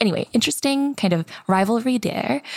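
The recording of this woman is very clean with a silent background, dry and close with no echo, and her pitch varies in an ordinary way. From Seoul, South Korea, then US in childhood. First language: Korean. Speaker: content creator. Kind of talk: casual podcast chat.

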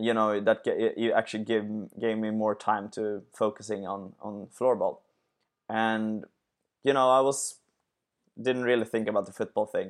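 Against a quiet background, a man with a Swedish accent and fairly low pitch speaks at a moderate pace in monotone, flat intonation, with long, frequent pauses. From Sweden. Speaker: sports entrepreneur. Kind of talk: interview. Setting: remote call. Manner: halting.

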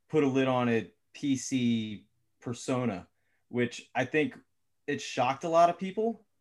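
A man's medium-pitched voice carries lively intonation. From Philadelphia. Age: 40s. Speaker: guest, father of three. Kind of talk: discussion.

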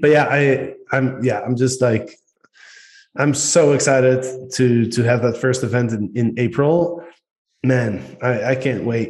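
A man talks with a Dutch accent at a fairly slow pace. His voice is somewhat breathy, with fairly even intonation. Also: medium pitch for a man. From Netherlands. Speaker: podcast host. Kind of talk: casual podcast chat.

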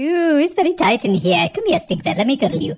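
A female-sounding put-on character voice, high in pitch, with very wide pitch swings. The delivery is very fast. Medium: actual play. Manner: chatty, teasing.

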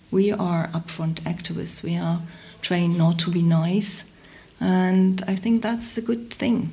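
Against noticeable background noise, a woman speaks fairly slowly at a fairly low pitch. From Hamburg, Germany. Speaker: environmental activist. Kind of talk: casual interview. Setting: in-person interview at an office.

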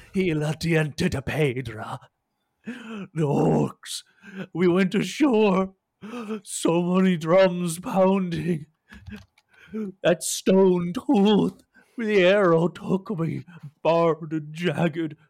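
A put-on character voice at middle pitch, very slow pace, long and frequent pauses. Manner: feverish, halting.

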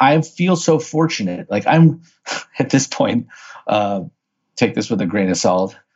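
With a Midwestern American accent, a man talks at a moderate pace in a medium pitch, his voice swinging very widely up and down. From US Midwest, St. Louis, Missouri. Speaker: author and marketer, former accountant. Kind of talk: podcast interview.

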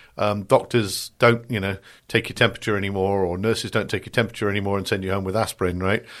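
A man with a British accent speaks at a very fast pace in a fairly low, monotone, flat voice. The recording is very clean, with a silent background. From Britain. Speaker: cybersecurity strategist. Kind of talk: interview.

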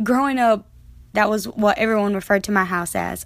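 With an American accent, a woman talks at a fairly high pitch and with ordinary pitch variation. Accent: US Southern, Lumbee. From Pembroke, North Carolina. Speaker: college student. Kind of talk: personal audio diary.

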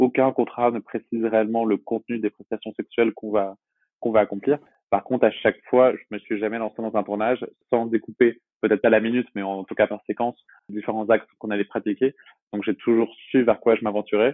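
Speaking in a flat monotone at medium pitch, the man keeps up a fairly quick pace. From Brittany, France (Brest). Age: 20s. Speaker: adult film actor and publishing worker. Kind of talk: interview. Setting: remote recording. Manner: hesitant, frequent word repetitions.

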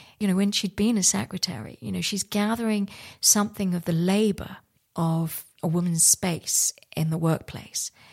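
The recording is very clean, with a silent background. A woman speaks at a medium pitch, sounding somewhat breathy. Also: ordinary pitch variation, moderate pace. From India, raised in London, England. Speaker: artist. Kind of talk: interview.

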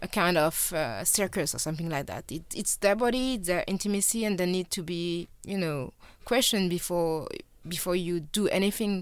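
The speaker has a French accent, and the recording is very clean with a silent background. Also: woman. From France. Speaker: filmmaker, journalist and activist. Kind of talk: interview. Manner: hesitant, many fillers.

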